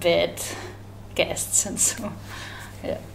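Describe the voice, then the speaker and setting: A woman speaks fairly slowly while noticeable background noise plays behind her. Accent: German. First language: German. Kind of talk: interview. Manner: halting.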